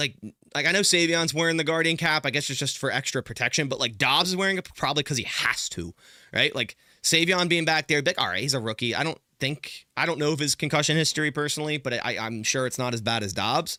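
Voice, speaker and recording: In a very clean recording with a silent background and a dry, close sound with no echo, a man with a slight Philadelphia accent talks at a very fast pace, his fairly high pitch carrying a bright, sharp tone, an animated tone and ordinary pitch variation. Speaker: sports streamer giving play-by-play. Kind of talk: live play-by-play commentary. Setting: live stream.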